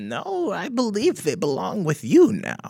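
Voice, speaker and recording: A man adopts a put-on character voice, high-pitched and at a fairly slow pace. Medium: actual play. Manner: gentle, affectionate.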